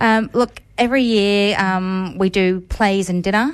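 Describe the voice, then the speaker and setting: The speaker talks at a fairly slow pace with a slight English accent. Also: woman. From England. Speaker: museum events coordinator. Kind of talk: radio interview.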